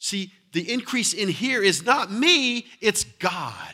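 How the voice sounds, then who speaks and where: A man's raised, projected voice, high-pitched with a bright, sharp tone, in a very clean recording over a silent background. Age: 40s. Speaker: pastor. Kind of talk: sermon. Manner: repetitive, stammering restarts.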